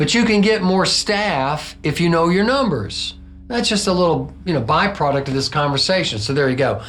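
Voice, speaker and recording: Audible room echo surrounds a man with a fairly high pitch. His tone is animated and his intonation lively. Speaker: hotel housekeeping trainer. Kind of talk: tutorial. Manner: fast.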